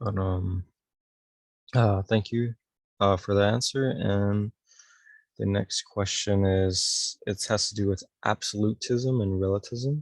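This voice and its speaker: A man speaks at a fairly slow pace with long, frequent pauses, his fairly low pitch and fairly even intonation captured in a dry, close sound with no echo. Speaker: student interviewer. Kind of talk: interview. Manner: monotone.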